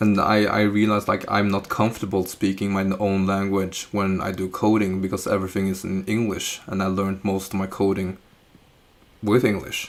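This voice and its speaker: Speaking at a moderate pace, a man keeps a fairly low pitch and a monotone, flat intonation. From Norway. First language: Chinese and Norwegian. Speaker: live streamer doing coding practice. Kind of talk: live stream chat while coding. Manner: halting, with fillers and restarts.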